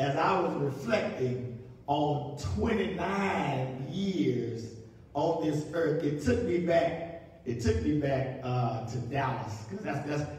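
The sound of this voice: With strong room echo, a man speaks slowly and with few pauses, his pitch fairly high and his tone slightly mellow. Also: ordinary pitch variation.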